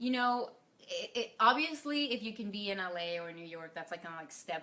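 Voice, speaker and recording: Lively intonation comes with a slight Mexican accent. The tone is bright and sharp, at a fairly quick pace. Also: woman. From Mexico (Torreón). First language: Spanish. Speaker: actress. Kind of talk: casual interview.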